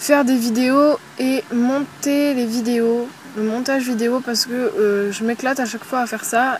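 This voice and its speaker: A high-pitched woman with fairly even intonation over noticeable background noise. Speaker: YouTuber. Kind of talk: casual Q&A vlog. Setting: outdoors at a campsite. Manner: hesitant, many fillers; speaking softly.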